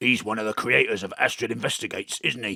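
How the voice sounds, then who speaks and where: A put-on character voice with a Cockney accent comes through raspy. It races along at a very fast pace. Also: man. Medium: audio drama. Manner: breezy, cheeky.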